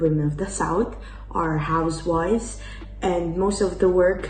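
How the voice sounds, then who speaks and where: In a very deep, low pitch, a woman with an Italian accent speaks with fairly even intonation, with audible room echo and music in the background. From Italy. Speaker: exchange student. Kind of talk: interview answers. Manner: hesitant, many fillers.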